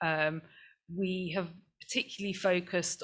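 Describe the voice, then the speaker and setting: In a very clean recording with a silent background, a woman with an East Anglian accent speaks at a fairly low pitch in a bright, sharp tone with monotone, flat intonation. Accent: non-Mancunian accent, from the Fens. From England, the Fens (East Anglia). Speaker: climate activist. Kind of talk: panel talk. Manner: halting, many fillers and restarts.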